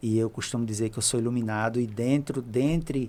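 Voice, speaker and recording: In a Rio Grande do Norte accent, a man speaks at a very fast pace with medium pitch and fairly even intonation. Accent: northeastern Brazilian Portuguese (potiguar). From Brazil, Seridó sertão, Rio Grande do Norte. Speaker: geography professor. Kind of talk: podcast interview.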